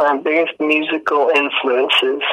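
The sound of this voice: A man speaks at a fairly slow pace, his pitch fairly high. His tone is fairly bright, with little pitch movement.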